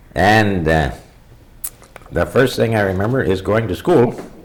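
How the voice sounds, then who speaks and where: A man talks at a moderate pace with a fairly low pitch and lively intonation. Noticeable background noise sits behind him. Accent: American. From Bayfield, Wisconsin (US Upper Midwest). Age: 70s. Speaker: local elder telling oral history. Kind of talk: oral history interview. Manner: conversational, meandering with frequent fillers.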